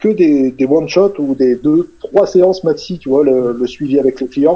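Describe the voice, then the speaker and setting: A man's voice with lively intonation. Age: 40s. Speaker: hypnotherapist and author. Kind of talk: casual interview. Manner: hesitant, many fillers and repetitions.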